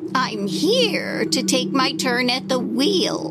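Over loud background noise, a woman talks very slowly at a medium pitch. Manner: brisk, bossy.

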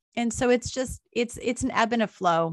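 This is a normal speaking voice at a moderate pace. The recording is very clean, with a silent background and a dry, close sound with no echo. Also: woman. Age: 40s. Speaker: wilderness guide and trauma recovery coach. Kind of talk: interview.

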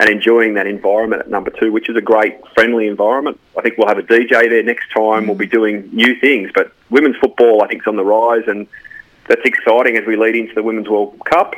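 A man with an Australian accent talks at a very fast pace in a medium pitch, his intonation monotone and flat. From rural Australia. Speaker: football club CEO. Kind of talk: radio interview. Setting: phone call.

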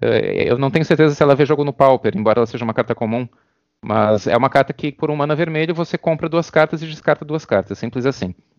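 The man talks very fast with a fairly high pitch and ordinary pitch variation, recorded dry and close with no echo. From Brazil. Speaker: competitive card game player. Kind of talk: podcast interview.

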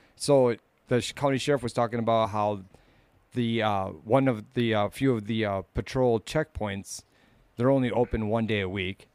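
The sound is dry and close, with no echo. A man with an ordinary speaking voice talks at a medium pitch and moderate pace, his intonation fairly even. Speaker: co-host. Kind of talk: casual chat. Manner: crude, joking.

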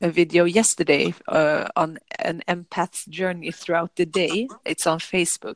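With a Swedish accent, a woman speaks at a fairly low pitch and fairly even intonation, hardly pausing, in a dry, close sound with no echo. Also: fairly slow pace. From Sweden. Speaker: yoga teacher. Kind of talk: casual chat. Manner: calm; halting.

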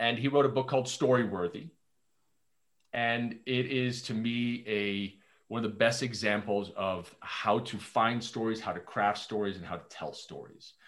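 Speaking at a fairly slow pace, a man with an unremarkable speaking voice keeps a medium pitch and ordinary pitch variation. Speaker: founder, storytelling consultant. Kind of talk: casual interview chat.

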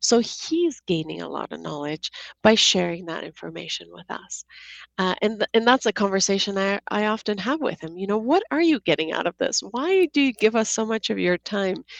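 A woman speaks at a moderate pace with big swings in loudness. The sound is dry and close, with no echo. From Seattle, US Pacific Northwest (born in Georgia, the country). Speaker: app co-founder, tech executive. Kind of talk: podcast interview.

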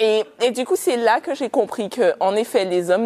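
A woman speaks with a non-native accent. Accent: rolled R, non-French. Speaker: panel speaker. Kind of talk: live talk with audience. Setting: event venue with audience.

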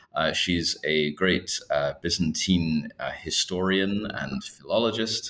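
A man talks at a very slow pace. Noticeable background noise runs behind him. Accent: Scottish. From Scotland. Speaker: historian, assistant professor. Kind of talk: interview about his book.

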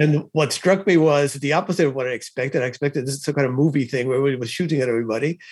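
Ordinary pitch variation in a man's voice at a medium pitch. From Cuba. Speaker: author and former intelligence analyst. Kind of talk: interview.

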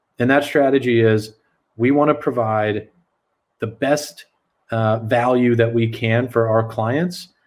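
Fairly slow, fairly even speech in an American accent, broken by long, frequent pauses. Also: man, medium pitch for a man, very even loudness. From South Texas, San Antonio. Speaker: fintech company CEO. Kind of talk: casual interview.

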